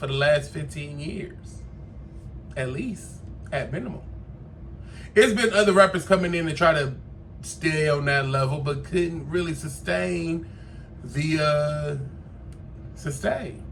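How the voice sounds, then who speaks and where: Audible room echo surrounds a voice moving at a fairly slow pace with long, frequent pauses. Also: man. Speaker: podcast host. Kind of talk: casual commentary monologue. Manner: animated.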